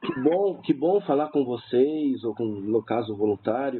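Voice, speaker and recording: At a fairly slow pace, a man with an unremarkable speaking voice uses lively intonation. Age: 50s. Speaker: suicide-prevention helpline volunteer. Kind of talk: radio interview.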